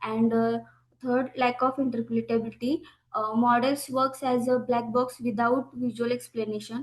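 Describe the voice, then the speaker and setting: At a moderate pace, a woman with an Indian accent speaks in a high pitch with monotone, flat intonation. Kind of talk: conference presentation. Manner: halting, many fillers; soft-spoken. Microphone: too quiet at first.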